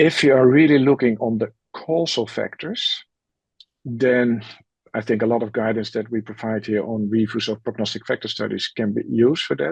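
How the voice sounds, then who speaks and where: The speaker has a non-native accent and talks at a moderate pace with ordinary pitch variation. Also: man, medium pitch for a man. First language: not English. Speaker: methods expert, panelist. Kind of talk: webinar Q&A. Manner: halting, frequent fillers.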